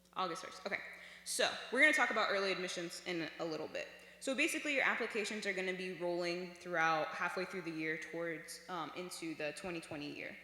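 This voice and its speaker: The speech comes at a very fast pace. Noticeable background noise sits behind it. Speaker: former student presenter at youth workshop. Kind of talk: informal presentation.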